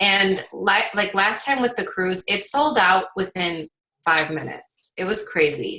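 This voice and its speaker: Her voice is a normal speaking voice, as this woman talks at a fairly slow pace with medium pitch and ordinary pitch variation. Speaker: team leader of fitness coaches. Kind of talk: team call announcements. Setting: video call.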